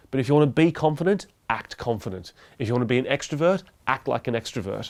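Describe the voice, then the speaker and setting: Medium pitch and ordinary pitch variation in a man's speech. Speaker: podcast host and YouTuber. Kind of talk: solo talk to camera. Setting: talking to a camera. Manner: speaks fast when nervous.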